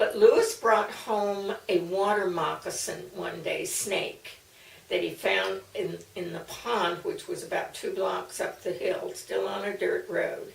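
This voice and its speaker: Against noticeable background noise and audible room echo, a woman with a warm tone speaks at a fairly slow pace. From US Mid-Atlantic (Maryland, later Missouri). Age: 80s+. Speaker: elderly woman recording family memories. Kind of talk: personal memoir storytelling. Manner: warm, occasionally halting with fillers.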